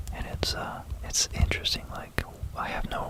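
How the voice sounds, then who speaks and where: Whispering over noticeable background noise. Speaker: ASMR content creator. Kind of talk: ASMR whisper explanation of math, pen-writing sounds. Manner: soft whispering, close-mic.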